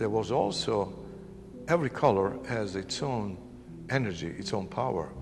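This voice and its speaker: A man's fairly low voice with lively intonation, at a moderate pace, with long, frequent pauses and audible room echo. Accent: Italian. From northern Italy. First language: Italian. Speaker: painter. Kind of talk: interview.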